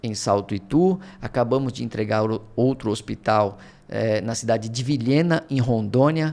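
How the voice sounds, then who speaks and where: The speaker talks at a medium speed. Pitch varies an ordinary amount. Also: man, medium pitch for a man. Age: 40s. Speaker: project management director and professor. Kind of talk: podcast interview.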